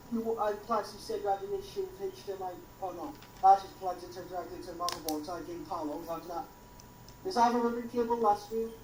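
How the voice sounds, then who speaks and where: A woman at a medium pitch talking very fast, with big swings in loudness and noticeable background noise. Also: ordinary pitch variation. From Wales. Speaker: tech helper in live stream. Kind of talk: casual tech troubleshooting chat.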